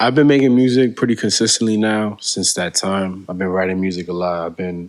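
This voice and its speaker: Delivered at a fairly quick pace, an ordinary speaking voice shows ordinary pitch variation over a very clean recording with a silent background. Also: man, fairly low pitch for a man. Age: 20s. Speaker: rapper. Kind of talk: casual interview.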